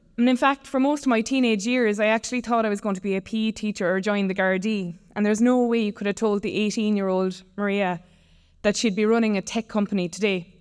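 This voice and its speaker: Over a silent background on a very clean recording, a woman with a Limerick accent speaks very fast at a fairly high pitch with fairly even intonation. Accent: Irish (West Limerick). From Ireland, West Limerick. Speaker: tech company founder. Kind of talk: conference talk.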